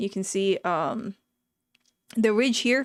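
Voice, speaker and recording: In a very clean recording with a silent background, a woman's voice shows ordinary pitch variation and a dry, close sound with no echo. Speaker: streamer. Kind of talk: live stream commentary reacting to articles and videos. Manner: casual, sometimes slurred speech.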